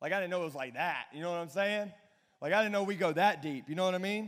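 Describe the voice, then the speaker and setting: A man with a Southern US accent, animated in tone and lively in intonation, on a very clean recording against a silent background. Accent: Southern twang. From Alabama. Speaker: pastor. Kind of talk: youth sermon.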